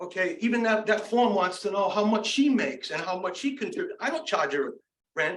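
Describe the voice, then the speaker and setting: Over audible room echo, a man talks at a fairly quick pace with a high pitch. His pitch swings very widely. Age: 60s. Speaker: resident speaking at public comment. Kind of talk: public comment at town meeting. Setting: town council meeting. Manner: animated.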